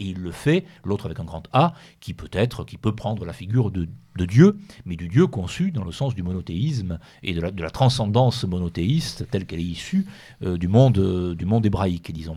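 A somewhat breathy man speaks with lively intonation in a very clean recording with a silent background. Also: moderate pace. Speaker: author. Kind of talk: radio interview.

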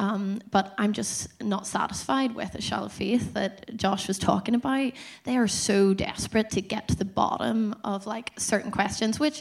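A woman at a medium pitch speaks in a Northern Irish accent at a moderate pace with ordinary pitch variation amid noticeable background noise. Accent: Northern Irish (Tyrone). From Dungannon, Northern Ireland. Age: 30s. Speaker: church course leader. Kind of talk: testimony.

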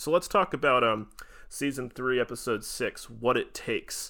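Recorded very cleanly against a silent background, the man has a bright, sharp tone. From United States. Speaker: podcast host. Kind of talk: casual podcast discussion of a TV show.

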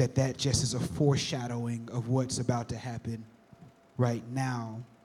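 The man's voice sits at medium pitch. It sounds somewhat breathy. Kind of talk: panel talk at a church event.

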